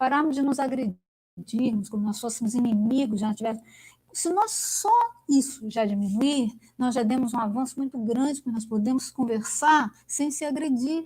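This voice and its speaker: A woman speaks in a high voice with an animated tone. Her pace is moderate and her pitch moves in an ordinary way. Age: 60s. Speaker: academic speaker. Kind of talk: online lecture discussion.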